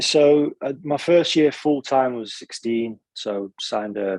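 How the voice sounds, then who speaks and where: In a Nottingham accent, a man talks with ordinary pitch variation, the sound dry and close with no echo. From Nottingham, England (born in Italy). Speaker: football goalkeeping coach. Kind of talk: podcast interview.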